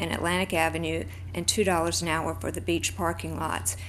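Music plays behind a woman with a very deep, low pitch, and the room echo is audible. Her intonation is monotone and flat. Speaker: public commenter, downtown board member. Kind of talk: public comment at council meeting. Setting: city commission chamber.

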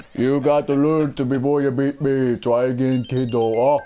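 This put-on character voice is gruff and sits at a low-to-middle pitch. The intonation stays monotone and flat. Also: moderate pace.

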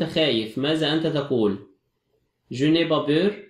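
With an Egyptian accent, a man speaks at a fairly slow pace in a fairly high voice. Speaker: French teacher. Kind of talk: lecture.

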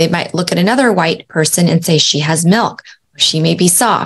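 In an ordinary speaking voice, a woman talks at a moderate pace with very even loudness and ordinary pitch variation. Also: fairly low pitch for a woman. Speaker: podcast host. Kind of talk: educational talk. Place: home room.

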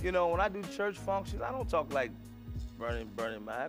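A man talks at a moderate pace. Clear music can be heard in the background. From Chicago south side. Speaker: stand-up comedian. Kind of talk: interview answer. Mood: warm, amused, reflective. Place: studio.

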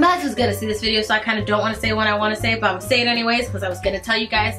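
A woman speaks with clear music in the background. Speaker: YouTube reaction vlogger. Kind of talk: casual vlog chat.

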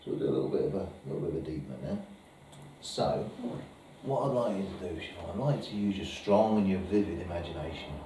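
A man with a fairly low pitch talks at a very fast pace, with audible room echo and noticeable background noise. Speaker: hypnotherapist demonstrating technique. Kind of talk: hypnosis induction and training demo, alternating with casual teaching commentary. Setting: live demonstration with a volunteer subject, filmed. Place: meeting room. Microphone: camera far.

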